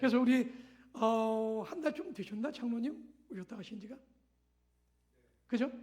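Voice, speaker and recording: An extremely high-pitched man speaks at a moderate pace with ordinary pitch variation and big swings in loudness. Long, frequent pauses break up his speech, and room echo is audible. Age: 60s. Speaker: missionary pastor. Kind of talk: sermon. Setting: church. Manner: halting.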